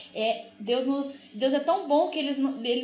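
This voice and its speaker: A woman talks at a high pitch, and audible room echo follows her voice. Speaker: spiritist study teacher. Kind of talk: lecture. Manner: fast.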